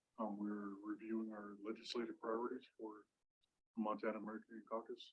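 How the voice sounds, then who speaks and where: Medium-pitched male voice, bright and sharp in tone, at a fairly quick pace. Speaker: director of American Indian legislative caucus. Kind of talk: self-introduction at meeting.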